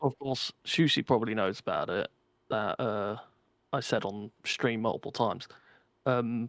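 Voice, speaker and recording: The recording is very clean, with a silent background. A man's voice comes through dry and close, with no echo. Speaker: podcast co-host and streamer. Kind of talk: casual chat. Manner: loud.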